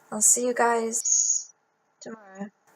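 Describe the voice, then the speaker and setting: In a British accent, a woman speaks with a high pitch. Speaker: YouTuber reading a children's book aloud. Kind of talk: reading aloud. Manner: casual with many fillers.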